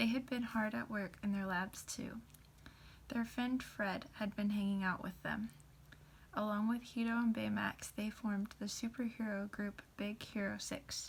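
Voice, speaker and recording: A soft-spoken, somewhat breathy woman at medium pitch, with monotone, flat intonation and a fairly slow pace. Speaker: ASMR content creator. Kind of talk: storybook narration.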